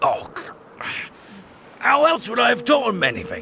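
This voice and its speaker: Here a man puts on a character voice at an extremely high pitch. He speaks at a moderate pace over clear background noise. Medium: game stream. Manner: cold, contemptuous.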